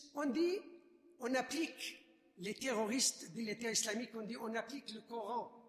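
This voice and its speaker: An extremely high-pitched man at a moderate pace, with noticeable background noise. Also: ordinary pitch variation. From Iraq. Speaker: refugee witness, subdeacon. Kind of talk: testimony. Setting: church.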